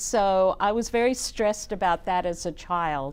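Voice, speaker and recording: Against a quiet background, a woman talks with an Australian accent. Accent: Australian accent, noticeable. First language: German. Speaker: nonprofit executive director. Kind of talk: talk show interview. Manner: energetic.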